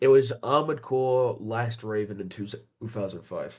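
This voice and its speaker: A man with an American accent speaks at a very slow pace, with medium pitch and ordinary pitch variation. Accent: British, often mistaken for American. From Britain. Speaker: gaming chat participant. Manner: casual, profane.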